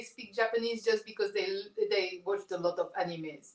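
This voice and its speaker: A woman talks fairly quickly as her pitch swings very widely. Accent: French. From France. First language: French. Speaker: comic book artist. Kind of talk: casual chat. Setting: livestream.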